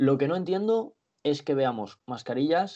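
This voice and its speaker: A man's voice at a fairly slow pace, with very wide pitch swings. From Benidorm, Spain. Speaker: handball journalist. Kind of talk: casual sports chat. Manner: halting, repeats words.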